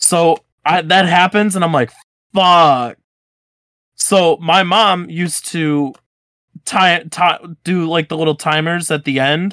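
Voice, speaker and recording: With long, frequent pauses, a man speaks very slowly in a high voice with fairly even intonation, the sound dry and close with no echo. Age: 20s. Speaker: podcast host. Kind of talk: casual chat. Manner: casual, profane.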